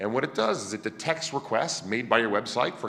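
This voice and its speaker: The man's tone is animated, and his intonation is lively. He talks at a very fast pace with a medium pitch. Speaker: conference speaker presenting a project. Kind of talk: conference talk. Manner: loud.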